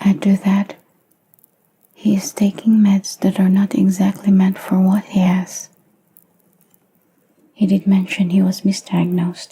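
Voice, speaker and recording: Soft-spoken and at a fairly slow pace, the speaker leaves long, frequent pauses. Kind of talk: soft-spoken music reaction commentary to camera. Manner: soft-spoken, quiet.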